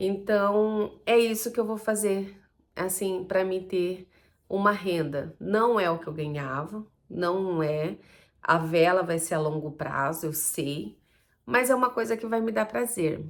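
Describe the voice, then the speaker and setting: A woman with a medium-pitched voice talks very slowly. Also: lively intonation. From Brazil, Campo Grande, Mato Grosso do Sul. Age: 40s. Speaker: vlogger, small entrepreneur. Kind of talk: personal vlog monologue. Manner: casual, conversational with fillers.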